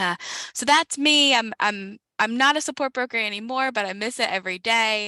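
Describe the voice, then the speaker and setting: A woman with an American accent talks at a fairly quick pace in a bright, sharp tone, the sound dry and close with no echo. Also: very clean recording, silent background. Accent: slight Southern US, comes out at times. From South Carolina. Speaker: former support broker, state program staff. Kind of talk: panel discussion.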